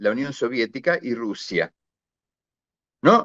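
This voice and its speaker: At a fairly slow pace, a man talks with an Argentine accent. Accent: Argentine Spanish (rioplatense voseo). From Argentina, rural interior. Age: 60s. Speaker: retired naval officer and war veteran. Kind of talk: interview conversation. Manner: hesitant with fillers.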